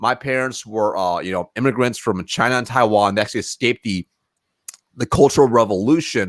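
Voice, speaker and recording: A man talks at a fairly quick pace and a medium pitch, with ordinary pitch variation. The sound is dry and close, with no echo. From US West Coast, Springfield, Oregon. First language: Mandarin Chinese. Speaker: sales professional. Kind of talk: podcast interview.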